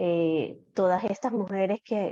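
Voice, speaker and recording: A very slow delivery in a dark, mellow tone with fairly even intonation. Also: woman. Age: 40s. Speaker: psychologist and coach. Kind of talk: panel discussion. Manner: hesitant, many fillers.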